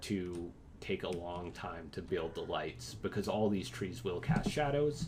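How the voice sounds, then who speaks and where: Over an audible room echo, a man speaks fairly slowly in a dark, mellow tone with lively intonation. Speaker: instructor teaching architecture students software. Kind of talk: lecture. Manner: hesitant, many fillers.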